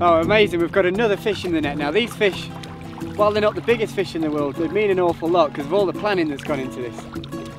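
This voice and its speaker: A man talking at a very fast pace, dry with no echo, with clear music in the background. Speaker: presenter. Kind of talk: outdoor commentary. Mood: excited, thrilled. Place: waterside.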